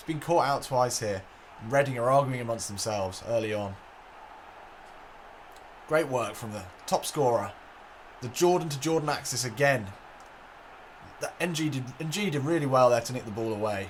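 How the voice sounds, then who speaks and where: A man with a medium pitch speaks at a moderate pace, with long, frequent pauses, lively intonation and an excited tone. Noticeable background noise sits behind him. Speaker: gaming commentator. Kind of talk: football match commentary over video game. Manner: excited, lively.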